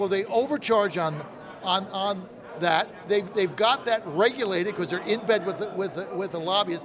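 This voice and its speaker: Noticeable background noise sits behind this man. He speaks in an animated tone at a moderate pace. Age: 60s. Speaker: radio host. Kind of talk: casual chat. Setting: live broadcast at a convention.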